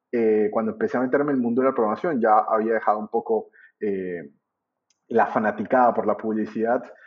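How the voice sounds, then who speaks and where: Fairly quick speech from a man with a Colombian accent. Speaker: trading teacher. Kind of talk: interview. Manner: halting.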